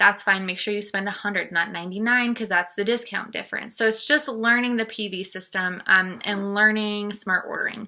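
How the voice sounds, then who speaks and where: A woman talks fairly quickly with hardly any pauses, her fairly high voice bright and sharp and her intonation fairly even. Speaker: makeup seller and team leader. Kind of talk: vlog tutorial. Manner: fast; casual with many fillers.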